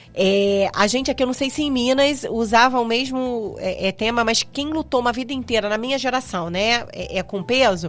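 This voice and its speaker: Moderately paced with hardly any pauses, a woman speaks at a high pitch with ordinary pitch variation. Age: 40s. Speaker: podcast host. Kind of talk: casual chat.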